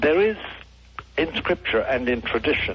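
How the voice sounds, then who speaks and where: Moderate tempo and ordinary pitch variation from a man, noticeable noise in the background. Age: 70s. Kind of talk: radio interview.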